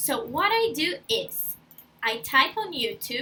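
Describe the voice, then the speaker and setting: A woman with a Brazilian accent speaks in a raised, projected voice with a bright, sharp tone. Her pitch swings very widely. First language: Portuguese. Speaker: language school intern. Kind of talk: tutorial. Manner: casual, friendly.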